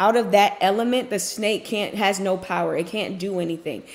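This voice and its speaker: Moderate pace from a female speaker. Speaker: faith content creator. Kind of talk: devotional message, casual sermon. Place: office. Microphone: webcam.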